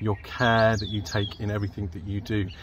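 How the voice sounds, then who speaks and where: Somewhat breathy and fairly low in pitch, a man speaks in a dry sound with no echo and light background noise. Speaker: school teacher. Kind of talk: prepared address to pupils. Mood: warm, praising. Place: garden. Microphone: phone near.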